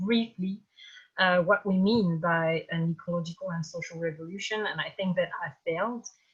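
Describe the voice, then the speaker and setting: In a French accent, a woman speaks at a moderate pace and medium pitch. Her voice is somewhat breathy. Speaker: campaign organizer, activist. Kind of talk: webinar talk. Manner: halting.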